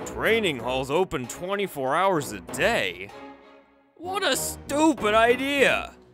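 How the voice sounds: A man's put-on character voice, high-pitched and slow, with very wide pitch swings and faint music in the background. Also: fairly bright tone.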